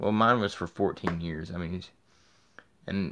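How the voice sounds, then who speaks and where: Vocal fry runs through this fairly quick delivery, which has ordinary pitch variation. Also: man. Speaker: video blogger. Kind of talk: personal video diary. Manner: fast; halting.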